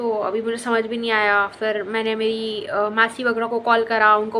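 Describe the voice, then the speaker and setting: A woman talks with a fairly high pitch. Noticeable noise sits in the background. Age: 20s. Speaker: lifestyle vlogger. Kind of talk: storytelling. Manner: casual, many fillers.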